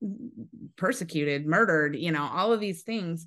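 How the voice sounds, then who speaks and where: Lively intonation marks a woman's General American accent at a moderate pace. She has a plain, everyday voice over a quiet background. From US Pacific Northwest (Eastern Washington). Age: 40s. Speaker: pastor's wife. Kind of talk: testimony.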